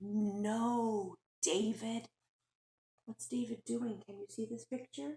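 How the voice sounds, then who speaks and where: A very slow, somewhat breathy voice, dark and mellow with a warm, gentle tone, dry and close with no echo. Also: woman. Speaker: teacher. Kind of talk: children's picture book read-aloud. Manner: warm, gentle, engaging.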